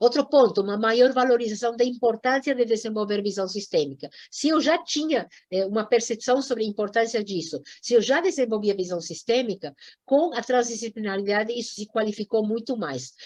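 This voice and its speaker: A woman's fairly high voice, fairly quick and with lively intonation. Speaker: environmental education lecturer. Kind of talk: lecture. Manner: animated.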